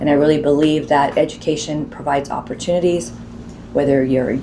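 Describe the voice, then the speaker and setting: A woman's very deep, low voice with ordinary pitch variation and a very fast pace, amid noticeable background noise and audible room echo. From Southern California (San Pedro). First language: Spanish. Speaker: college president. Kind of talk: interview.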